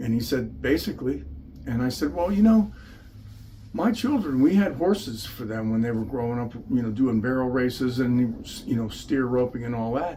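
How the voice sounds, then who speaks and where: Lively in intonation, a man with a medium-pitched voice speaks with audible room echo. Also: moderate pace. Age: 70s. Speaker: patient giving testimony. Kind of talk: testimony. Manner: conversational, with fillers.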